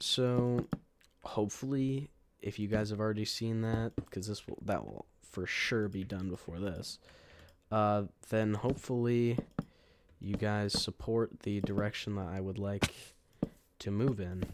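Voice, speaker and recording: This man talks at a fairly slow pace with long, frequent pauses. His pitch sits fairly low, and his intonation stays fairly even. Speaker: gaming YouTuber. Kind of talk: gameplay commentary.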